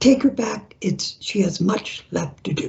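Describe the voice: A woman's put-on character voice, raspy and booming, medium in pitch and at a fairly slow pace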